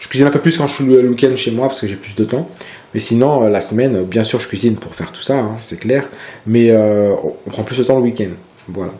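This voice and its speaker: The speech moves at a fairly quick pace with ordinary pitch variation and big swings in loudness, set against noticeable background noise. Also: man, medium pitch for a man. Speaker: fitness vlogger. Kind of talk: casual tutorial vlog. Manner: hesitant, many fillers.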